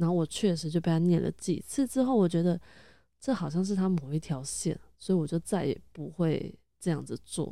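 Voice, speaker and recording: Speaking at a fairly quick pace, a woman has a fairly low, dark and mellow voice with ordinary pitch variation. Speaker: podcast host. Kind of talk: casual monologue.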